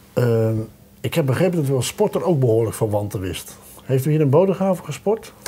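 A man at a fairly quick pace, with very wide pitch swings. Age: middle-aged. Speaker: local TV talk show host. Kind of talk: casual interview; scripted show outro. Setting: studio. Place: studio.

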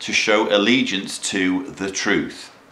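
There is audible room echo as a man talks with ordinary pitch variation. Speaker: commentator. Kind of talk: commentary. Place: home room.

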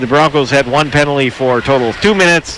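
A man speaks at a fairly quick pace with a fairly high pitch and ordinary pitch variation, the sound dry with no echo and light background noise behind him. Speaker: color commentator. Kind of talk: live sports broadcast analysis; sports commentary. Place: stadium.

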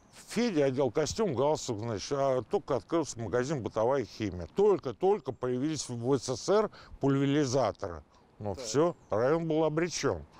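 A man with a fairly high pitch speaks at a moderate pace, his voice swinging very widely in pitch. His tone is dark and mellow, and the sound is dry with no echo. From Moscow, Oktyabrskoye Pole; Moscow. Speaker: football fan veteran. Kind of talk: casual storytelling interview. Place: street. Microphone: lapel.

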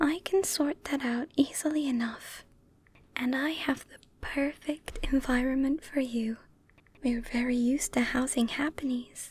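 The voice is soft-spoken, with a gentle tone, at a fairly slow pace. The sound is dry, with no echo. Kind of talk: soft-spoken roleplay, caring character dialogue. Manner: soft-spoken, gentle caring nurse voice.

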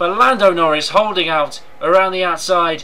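Noticeable background noise accompanies someone talking fairly slowly. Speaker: gaming YouTuber commentating his own race. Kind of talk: live sports commentary over game footage. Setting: gameplay recording with voiceover. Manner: race-commentator cadence with repeated emphasis like 'huge, huge trouble'.

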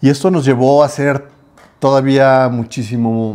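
Delivery is very slow, with fairly even intonation and a dark, mellow tone. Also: man. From Guadalajara, Mexico. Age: 50s. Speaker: podcast co-host, business owner; podcast co-host. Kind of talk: casual chat. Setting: home. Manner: hesitant, many fillers. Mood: calm, sincere. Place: home room. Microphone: lapel.

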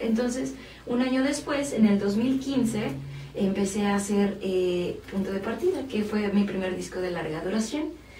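A woman's voice with ordinary pitch variation, audible room echo and light background noise. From Mexico City. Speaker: singer-songwriter and violinist. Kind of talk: interview. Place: studio.

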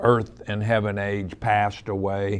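Here a man speaks at a very slow pace. His pitch is fairly low. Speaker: pastor. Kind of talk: sermon. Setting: studio. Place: studio.

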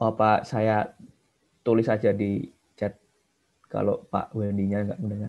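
A man's fairly low, monotone, flat voice at a fairly slow pace, with long, frequent pauses and a quiet background. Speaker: student participant asking question. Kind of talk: question in webinar Q&A. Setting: video call. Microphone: video call.

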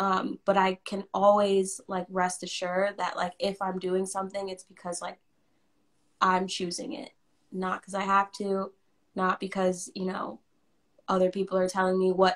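The delivery is monotone and flat at a moderate pace, with a quiet background. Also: woman. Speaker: musician; interviewee. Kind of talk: casual interview. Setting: live video stream. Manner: casual, laughs often. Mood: earnest, reflective.

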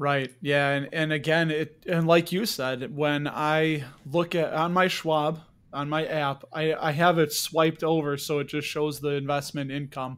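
In a very clean recording with a silent background, a man speaks at a fairly slow pace with a fairly high pitch and monotone, flat intonation. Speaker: podcast host. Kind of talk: casual interview.

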